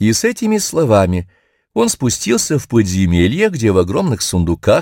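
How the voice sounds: This is a natural reading voice over a quiet background.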